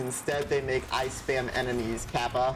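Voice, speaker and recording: Speech comes at a moderate pace amid noticeable background noise. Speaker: gaming content creator. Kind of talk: gameplay commentary. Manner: casual, filler-heavy.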